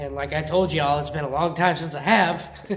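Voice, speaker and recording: A loud man at a moderate pace, with audible room echo. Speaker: guitar builder and video host. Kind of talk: casual workshop show-and-tell.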